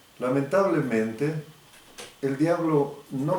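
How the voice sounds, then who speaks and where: Speaking very slowly with lively intonation, a man is heard in a room with audible echo. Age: 80s+. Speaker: biomagnetism therapist. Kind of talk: religious advisory talk to fellow believers.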